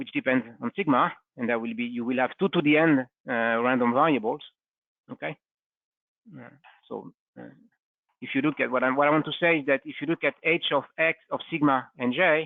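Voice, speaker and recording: Speaking at a fairly quick pace but with long, frequent pauses, a man uses a medium pitch with ordinary pitch variation. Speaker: physics lecturer. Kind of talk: lecture. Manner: halting; fast.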